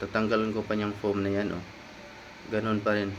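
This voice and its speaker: A man is speaking. His pitch sits fairly low. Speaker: motorcycle vlogger. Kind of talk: product review. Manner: casual.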